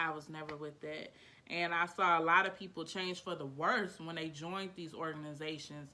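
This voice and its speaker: A woman speaks with a fairly low pitch and a bright, sharp, animated tone. Her loudness swings widely. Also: moderate pace. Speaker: YouTuber. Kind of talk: testimony. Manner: casual, animated.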